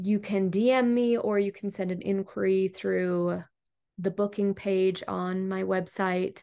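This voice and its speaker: This woman talks at a fairly slow pace in a medium pitch, her tone dark and mellow and her intonation monotone and flat. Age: 30s. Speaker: photographer. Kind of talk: casual chat.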